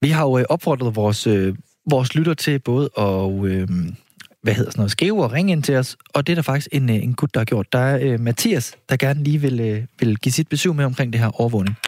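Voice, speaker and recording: A man talks at a fairly quick pace in an unremarkable speaking voice of medium pitch, with very even loudness. The sound is dry and close with no echo. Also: lively intonation. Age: 20s. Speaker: radio host. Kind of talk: live radio talk. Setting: studio.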